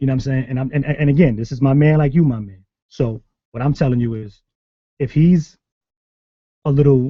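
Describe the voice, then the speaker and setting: A man's medium-pitched, somewhat breathy voice in a New York accent, dark and mellow in tone, with ordinary pitch variation. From New York City. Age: 30s. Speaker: sneaker show host. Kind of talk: heated debate. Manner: fast; animated.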